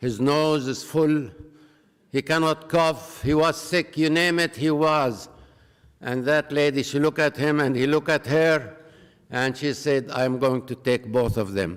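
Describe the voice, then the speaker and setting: Speaking with an Arabic accent, a man talks at a fairly slow pace with a fairly high pitch and ordinary pitch variation. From Palestine, Jerusalem. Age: 80s+. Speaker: peace activist. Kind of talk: public talk.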